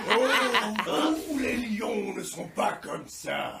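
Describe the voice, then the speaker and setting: Very slow, fairly high-pitched delivery in a put-on character voice. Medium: fan dub. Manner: sneering, disdainful.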